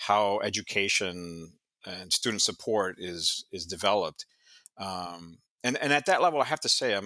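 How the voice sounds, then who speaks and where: This man's voice has a bright, sharp tone and a fairly low pitch. He talks at a fairly slow pace. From immigrant to the US. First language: not English. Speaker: history professor. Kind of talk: podcast interview. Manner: halting, many fillers and repetitions.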